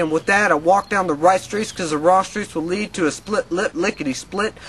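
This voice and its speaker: Over noticeable background noise, a man with an American accent talks fairly quickly at a high pitch with ordinary pitch variation. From Arkansas, USA. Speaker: spoken word poet. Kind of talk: spoken word poetry performance.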